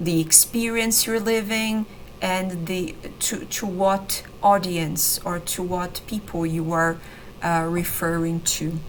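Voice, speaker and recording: With a Brazilian accent, a woman speaks very slowly at a medium pitch, her intonation fairly even. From Brazil, São Paulo state countryside. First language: Brazilian Portuguese. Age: 30s. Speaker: language teacher. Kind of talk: online lesson / tutorial. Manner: hesitant, many fillers and repetitions.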